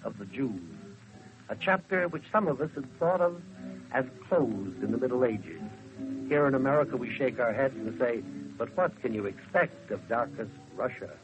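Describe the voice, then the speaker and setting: Music plays behind a man whose medium-pitched voice swings very widely in pitch. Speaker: radio commentator. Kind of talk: 1930s radio commentary.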